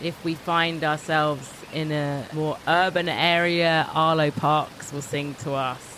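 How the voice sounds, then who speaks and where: A woman speaks with a very deep, low pitch and fairly even intonation. Noticeable background noise is present. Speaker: podcast host. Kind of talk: scripted intro and interview.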